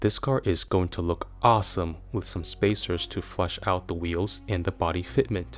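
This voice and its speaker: Background music plays as the speaker talks at a middling tempo, intonation rising and falling in a lively way. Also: man. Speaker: car design reviewer. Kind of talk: scripted narration. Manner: enthusiastic.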